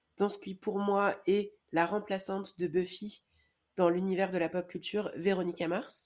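A woman speaks at a medium pitch and a fairly slow pace in a monotone, flat delivery, on a very clean recording with a silent background. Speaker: podcast co-host. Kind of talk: casual chat.

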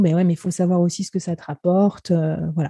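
Fairly quick and somewhat breathy, a woman speaks in a flat monotone with a fairly low pitch and a dark, mellow tone, with a dry, close sound and no echo. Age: 30s. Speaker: business executive. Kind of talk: casual chat.

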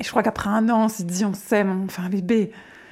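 On a very clean recording with a silent background, a woman with an ordinary speaking voice talks at a medium pitch with fairly even intonation. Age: 30s. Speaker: mother sharing pregnancy loss story. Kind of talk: testimony. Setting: at guest's home.

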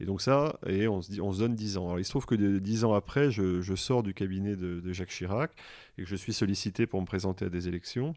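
At a fairly quick pace, a man with an unremarkable speaking voice and fairly low pitch talks with ordinary pitch variation in a very clean recording with a silent background. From France (Grenoble area). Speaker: finance executive. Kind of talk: interview.

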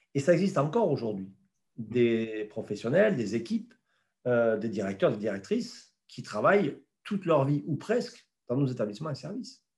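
Somewhat breathy, a man talks with very wide pitch swings. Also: medium pitch for a man, moderate pace. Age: 50s. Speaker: president of a federation of elderly care home directors. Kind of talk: interview. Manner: halting, many repetitions.

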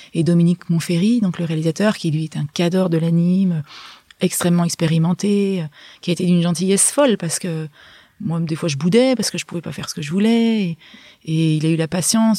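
A woman's dark, mellow, somewhat breathy voice moves at a fairly quick pace with ordinary pitch variation. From France, Hautes-Alpes (Gap). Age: 40s. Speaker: illustrator and author. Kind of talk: interview. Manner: halting, with many restarts.

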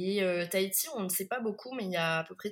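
A woman at medium pitch, fairly quick pace, and ordinary pitch variation. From France, Bordeaux. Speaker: sommelier. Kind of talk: interview. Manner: hesitant, many fillers.

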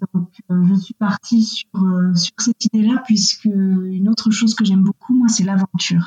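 In a dry, close recording with no echo, a woman speaks at a medium pitch and a fairly slow pace. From western France, near Angers. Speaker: eco-adventurer and environmental activist. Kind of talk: interview. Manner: hesitant, many fillers and repetitions.

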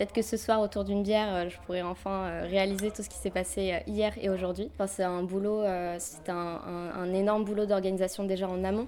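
At a moderate pace, a woman speaks at medium pitch in a monotone, flat intonation. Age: 20s. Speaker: student activist volunteer. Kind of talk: interview. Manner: tense.

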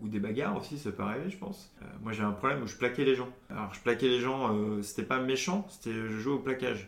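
Using lively intonation, a man with an unremarkable speaking voice talks at a medium pitch and a fairly quick pace. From Charente-Maritime, western France. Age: 30s. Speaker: recovering alcoholic, creative consultant. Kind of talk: testimony interview. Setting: at his home apartment.

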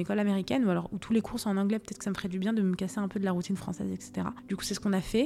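Speaking at a very fast pace, a woman keeps a medium pitch with ordinary variation. Noticeable background noise runs underneath. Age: 20s. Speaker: mental health testimony guest. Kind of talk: personal testimony. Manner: halting.

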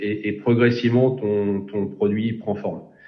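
Audible room echo surrounds a man speaking at a moderate pace. His intonation is monotone and flat. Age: 40s. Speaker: engineering program manager. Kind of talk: interview. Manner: halting, many repetitions and fillers.

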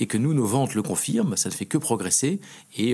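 A man's tone comes across dark and mellow. He talks very fast, his intonation lively. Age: 40s. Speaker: champagne house executive. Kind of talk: interview.

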